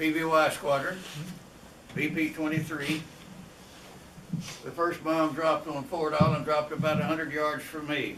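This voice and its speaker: A man with a fairly high, monotone, flat voice speaks at a moderate pace with long, frequent pauses. The recording has noticeable background noise and audible room echo. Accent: American. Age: 90s. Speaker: war veteran and author. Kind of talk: personal testimony to a meeting.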